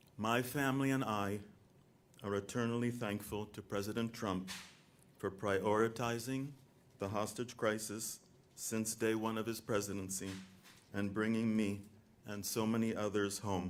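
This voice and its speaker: With an American accent, a man speaks at a moderate pace in a fairly low, monotone, flat voice, leaving long, frequent pauses. There is audible room echo. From US South, North Carolina. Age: 60s. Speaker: released hostage. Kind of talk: prepared statement. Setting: stage at press event.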